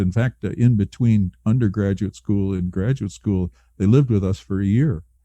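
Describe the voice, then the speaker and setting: A man's fairly low voice has a dark, mellow tone. The sound is dry and close with no echo, against a quiet background. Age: 70s. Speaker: early retiree. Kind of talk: casual chat. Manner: halting.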